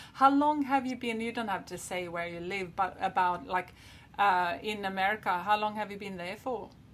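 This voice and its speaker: A woman speaks in a Swedish accent at a moderate pace and medium pitch. Her pitch varies in an ordinary way while her loudness swings a lot. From Sweden. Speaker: podcast host. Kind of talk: interview.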